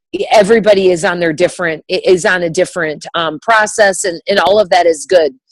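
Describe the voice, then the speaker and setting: Heard at a moderate pace with fairly even intonation, an unremarkable speaking voice comes through with a dry, close sound and no echo. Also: woman. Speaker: direct sales team leader. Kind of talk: motivational talk to sales team.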